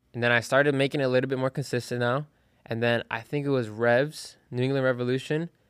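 A man with an American accent, medium pitch, and monotone, flat intonation at a very fast pace, on a very clean recording with a silent background. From South Florida (Broward County). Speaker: college soccer player. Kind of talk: casual interview. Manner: hesitant, with many fillers.

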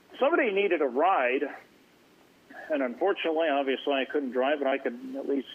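Noticeable background noise sits behind a man with an American accent whose pitch varies in an ordinary way. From Oregon, US. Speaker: caller. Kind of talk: radio call-in.

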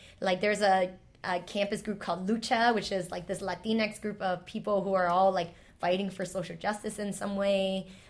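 At a moderate pace, a woman with an American accent speaks at medium pitch in monotone, flat intonation on a very clean recording with a silent background. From New York City, Chinatown / Lower East Side. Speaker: storyteller and teacher. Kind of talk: casual chat.

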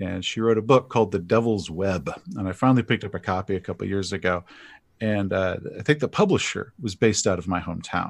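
Speaking at a very fast pace, a man with an American accent uses a fairly low pitch and ordinary pitch variation in a very clean recording with a silent background. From US South, East Texas. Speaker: fantasy author and RPG YouTuber. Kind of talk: casual interview chat. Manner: halting, repeats words.

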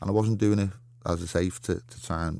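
A man talks in a Liverpool accent. His tone is dark and mellow, and his pace fairly quick. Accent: Scouse (Liverpool). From Liverpool, England. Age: 40s. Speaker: professional boxer. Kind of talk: interview. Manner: animated.

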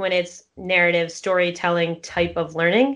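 A woman at medium pitch, fairly quick pace, a plain, everyday voice, quiet background. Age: 20s. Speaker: personal finance author. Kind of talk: interview.

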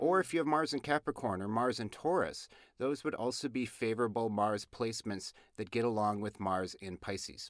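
In an American accent, a man speaks with an unremarkable speaking voice and lively intonation. The sound is dry and close with no echo, in a very clean recording with a silent background. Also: medium pitch for a man, moderate pace. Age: middle-aged. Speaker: astrology podcast host. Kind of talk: casual chat.

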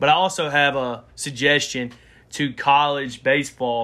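Here a man talks at medium pitch with a bright, sharp tone and fairly even intonation, in an Alabama accent. The recording is very clean, the background silent. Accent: Southern US (Alabama). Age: 20s. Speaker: sports podcast co-host. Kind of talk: casual chat.

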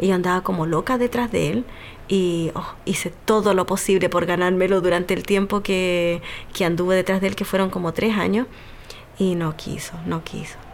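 This woman has an unremarkable speaking voice at a medium pitch. She speaks at a moderate pace with fairly even intonation. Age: 30s. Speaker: physiatrist and single mother. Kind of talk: personal testimony.

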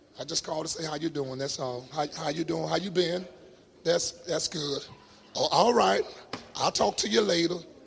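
The tone is animated, with ordinary pitch variation at a moderate pace. Long, frequent pauses break up the speech, and background noise is noticeable. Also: man, fairly high pitch for a man. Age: 50s. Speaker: pastor. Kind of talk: sermon. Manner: animated, emphatic with repetition.

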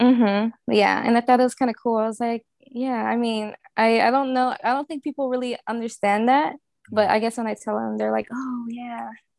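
In an American accent, a woman speaks at a moderate pace with a fairly high pitch and fairly even intonation, in an ordinary speaking voice. The sound is dry and close with no echo. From New Orleans, US South. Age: 20s. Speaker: fashion designer and interior designer. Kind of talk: casual interview.

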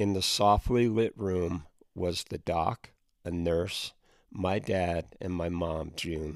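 Fairly even intonation at a very slow pace, on a very clean recording with a silent background. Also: man, very deep, low pitch for a man. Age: 60s. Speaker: podcast host. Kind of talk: personal storytelling monologue.

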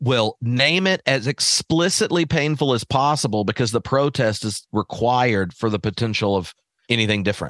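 A man speaks at a moderate pace in an animated tone with lively intonation and very even loudness. The sound is dry and close with no echo over a quiet background. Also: medium pitch for a man. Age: 40s. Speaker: theologian and podcast host. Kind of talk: casual chat.

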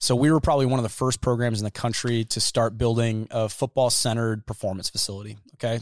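A man with a normal speaking voice and an American accent speaks fairly quickly at a medium pitch with fairly even intonation, in a dry, close sound with no echo on a very clean recording with a silent background. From Iowa. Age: 30s. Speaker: university athletics fundraiser. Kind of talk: casual chat. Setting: brewery tavern.

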